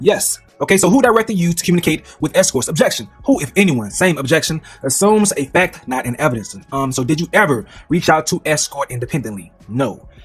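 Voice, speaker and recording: A man speaks at a very fast pace, his pitch swinging very widely. Music plays in the background. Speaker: commentator reading court transcript. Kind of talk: reading aloud with commentary. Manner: halting.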